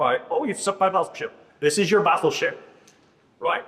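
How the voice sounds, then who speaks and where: This man speaks at a high pitch and a fairly quick pace. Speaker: business coach leading a workshop. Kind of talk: live workshop presentation. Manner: animated.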